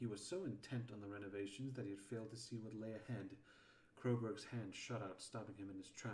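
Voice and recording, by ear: A natural voice reading aloud.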